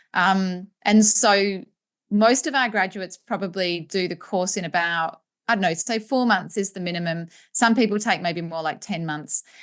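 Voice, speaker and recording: With an Australian accent, a woman speaks at a medium pitch with ordinary pitch variation against a quiet background. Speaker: postpartum educator and business owner. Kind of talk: interview. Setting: podcast. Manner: fast.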